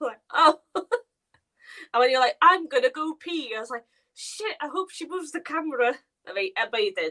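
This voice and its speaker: Raised and projected, a woman's high, bright, sharp voice moves at a fairly quick pace, with very wide pitch swings, big swings in loudness and long, frequent pauses. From Wales. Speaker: makeup artist. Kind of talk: casual chat. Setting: livestream.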